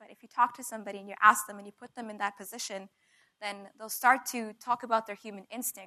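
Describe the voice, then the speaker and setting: A woman's fairly high, bright, sharp voice at a very fast pace, monotone and flat in intonation, with big swings in loudness. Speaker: spoken word poet. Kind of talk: talk introducing a poem at a live event. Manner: fast, nervous.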